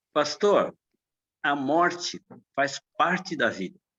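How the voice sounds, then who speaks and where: A man talks with vocal fry. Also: dry, close sound with no echo. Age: 60s. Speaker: church member, medical worker. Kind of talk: Sunday school class discussion.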